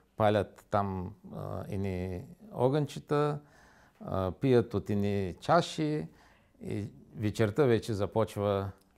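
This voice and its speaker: Delivery is very slow, broken by long, frequent pauses. The background is quiet. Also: man, fairly low pitch for a man, lively intonation. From Bulgaria, Varna; Bulgaria. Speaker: interview guest. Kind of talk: studio interview. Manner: halting. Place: studio.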